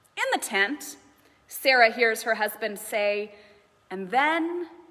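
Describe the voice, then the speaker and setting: Speaking very slowly, a woman with a fairly high voice uses lively intonation while noticeable background noise runs underneath. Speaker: minister, preacher. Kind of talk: sermon delivered to a congregation.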